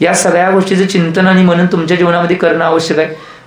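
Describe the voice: A man's high-pitched voice at a fast pace, with little pitch movement and audible room echo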